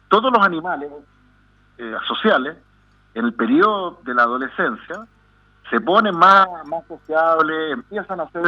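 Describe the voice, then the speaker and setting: This man has a fairly high pitch and lively intonation, with big swings in loudness. He moves at a moderate pace with long, frequent pauses. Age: 50s. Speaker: psychiatrist. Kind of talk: radio interview. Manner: halting.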